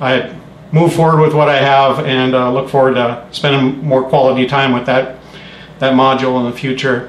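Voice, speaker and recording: Over noticeable background noise and audible room echo, a man at a medium pitch talks at a moderate pace in a monotone, flat delivery with very even loudness. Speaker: meetup presenter. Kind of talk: technical presentation. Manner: halting, many fillers.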